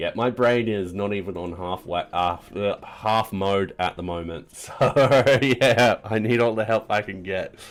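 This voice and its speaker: A man speaks at a fairly slow pace with an Australian accent and ordinary pitch variation. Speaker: programming streamer. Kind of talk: live coding stream. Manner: casual, rambling with fillers.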